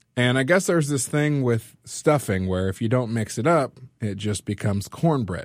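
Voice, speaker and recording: With an American accent, a man has an ordinary speaking voice at medium pitch, lively intonation and a moderate pace, on a very clean recording with a silent background. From California. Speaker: community organizer and musician. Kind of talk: storytelling.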